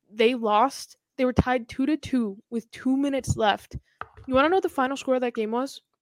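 A high-pitched woman with a Boston accent, a fairly quick pace and ordinary pitch variation, in a dry, close sound with no echo. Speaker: hockey podcast host. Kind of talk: casual chat.

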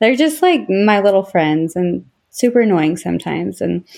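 In an American accent, a normal speaking voice moves at a moderate pace with lively intonation against a quiet background. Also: woman. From Utah. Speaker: interviewee, bishop's wife. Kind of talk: life history interview.

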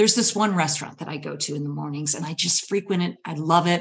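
A woman with an American accent speaks at a fairly quick pace in an ordinary speaking voice. Her pitch is fairly low. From US Midwest (Michigan). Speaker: storyteller and public speaking coach. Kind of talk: storytelling performance.

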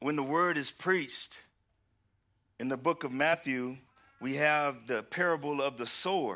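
Pausing long and often, a man with a Southern US accent speaks at a fairly slow pace in a bright, sharp tone, his fairly high pitch varying in an ordinary way. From Houston, Texas. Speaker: preacher. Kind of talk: sermon. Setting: church. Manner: animated.

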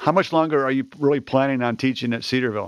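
Using a normal speaking voice, this man holds a medium pitch and keeps his intonation fairly even. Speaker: podcast host. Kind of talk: interview conversation.

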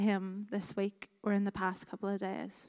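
A woman with a Northern Irish accent speaks at a medium pitch in a monotone, flat intonation. The recording is very clean, with a silent background and a dry, close sound with no echo. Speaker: worship leader. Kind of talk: guided prayer. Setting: church.

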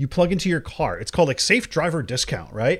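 A man with vocal fry and a fairly high pitch speaks with lively intonation on a very clean recording with a silent background. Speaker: podcast co-host. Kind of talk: casual chat. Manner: loud.

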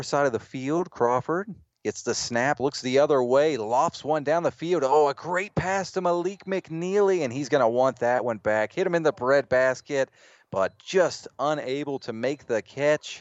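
A man's fairly high voice, with ordinary pitch variation, moves along at a moderate pace. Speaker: play-by-play announcer. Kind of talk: live sports commentary. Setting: stadium broadcast, radio. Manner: brisk, energetic play-by-play delivery.

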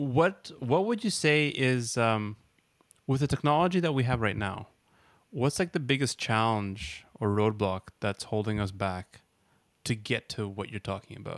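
A man with a plain, everyday voice speaks at a medium pitch with lively intonation. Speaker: podcast host. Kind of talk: interview, casual.

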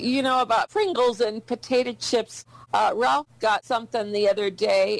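Delivered in a normal speaking voice at a fairly slow pace, the sound is dry and close with no echo and the pitch varies in an ordinary way. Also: woman. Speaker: caller.

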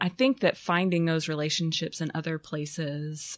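A woman speaks with a very deep, low pitch. Her pace is fairly slow. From Arkansas (Fayetteville). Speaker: graphic design professor and activist. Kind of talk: interview conversation. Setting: university office.

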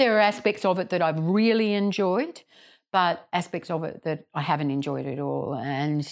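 Heard on a very clean recording with a silent background, a woman with an Australian accent speaks at a moderate pace, fairly low in pitch, with lively intonation. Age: 60s. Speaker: GP and mental health clinician, podcast host. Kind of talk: group lunch conversation.

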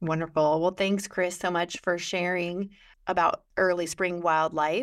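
In a Midwestern American accent, the speech comes at a fairly slow pace with monotone, flat intonation and very even loudness, on a very clean recording with a silent background. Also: woman, fairly low pitch for a woman. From western Illinois. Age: 40s. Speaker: podcast host, extension educator. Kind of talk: casual interview.

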